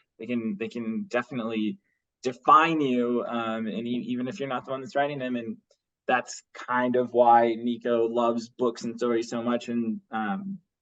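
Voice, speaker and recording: This man's middle-range pitch varies an ordinary amount while he speaks at a moderate speed. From Bosnia, then Los Angeles from about age nine. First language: Bosnian. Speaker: graphic novel artist and writer. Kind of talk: casual podcast interview. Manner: casual, halting with many repetitions and fillers.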